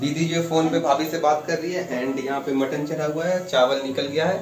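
Faint music plays behind a man and there is audible room echo. He speaks at a moderate pace. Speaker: vlogger. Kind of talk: casual vlog chat. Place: home room. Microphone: phone near.

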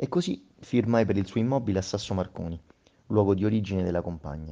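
A man's dark, mellow tone at a very fast pace. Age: 60s. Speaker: homeless man. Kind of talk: testimony.

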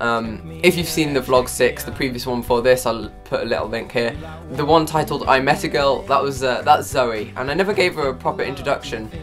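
A man at a fairly quick pace with hardly any pauses, clear music in the background. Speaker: vlogger. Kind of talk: casual vlog chat. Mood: wistful, a bit sad. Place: home room. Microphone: camera far.

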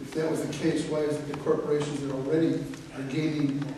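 Strong room echo and light background noise surround a man's voice. His fairly high pitch stays monotone and flat. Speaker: constituent. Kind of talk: town hall question. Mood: challenging, pointed. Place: hall. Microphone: camera far.

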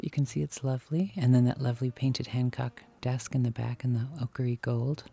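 Faint music plays in the background as a man speaks at a fairly quick pace, the sound dry with no echo. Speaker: vlogger browsing antiques. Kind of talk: casual vlog chat. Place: shop. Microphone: phone near.

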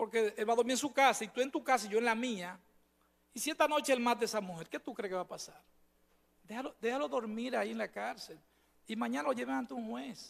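A man's extremely high voice at a very fast pace, with lively intonation. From Dominican Republic. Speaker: supreme court judge. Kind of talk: formal testimony at a performance evaluation hearing. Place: hall. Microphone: podium.

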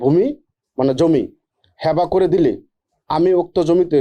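A high-pitched man speaks in a dark, mellow tone with ordinary pitch variation. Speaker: lawyer. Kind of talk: reading aloud.

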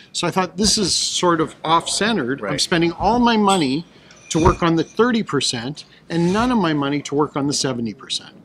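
Noticeable background noise surrounds a man speaking at a moderate pace in a high voice. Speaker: guest. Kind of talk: interview answer. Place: hall. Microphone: studio mic.

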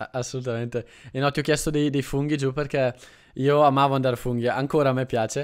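Against a quiet background, a man speaks very fast in a flat monotone. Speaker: Italian teacher, channel host. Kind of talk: conversational interview host. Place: home room. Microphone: studio mic.

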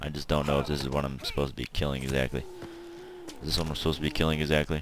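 Noticeable background noise sits behind this recording. A man with an American accent speaks in a very deep, low pitch. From Texas. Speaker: gaming YouTuber. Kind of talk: let's play commentary. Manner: animated.

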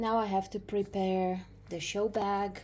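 A woman talks at a very slow pace, her voice somewhat breathy. Light background noise is heard. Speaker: dog owner vlogger. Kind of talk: casual vlog chat. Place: home room.

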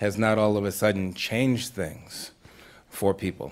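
Here a man speaks with an American accent at a fairly low pitch. His pace is moderate. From Massachusetts. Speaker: Baptist minister and foundation program director; Baptist minister. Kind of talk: panel discussion. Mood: thoughtful, earnest. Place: stage. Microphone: studio mic.

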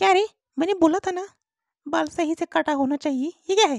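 Putting on a character voice, a woman speaks fairly quickly in a squeaky, extremely high pitch. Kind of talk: comic overacting. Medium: cartoon. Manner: angry, scolding.

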